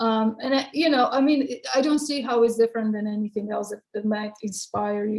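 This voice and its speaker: Somewhat breathy and in a Croatian accent, the voice keeps a fairly even intonation. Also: woman. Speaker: poet. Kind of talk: Q&A interview. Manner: halting.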